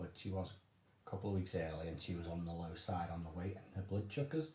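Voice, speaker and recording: Soft-spoken and somewhat breathy, a man talks at a fairly quick pace in a very deep, low pitch with a dark, mellow tone and ordinary pitch variation, with audible room echo around him. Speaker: father sharing family experiences. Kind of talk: casual chat.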